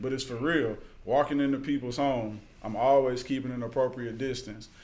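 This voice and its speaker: At a fairly quick pace and in a monotone, flat intonation, a man talks at a medium pitch with audible room echo. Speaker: youth mentor doing home visits. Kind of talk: casual chat.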